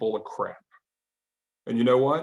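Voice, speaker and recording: A man speaks in a Southern US accent with ordinary pitch variation. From US South, Arkansas. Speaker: mentalist magician. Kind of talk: comedic stage patter. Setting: online video call show from home. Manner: animated.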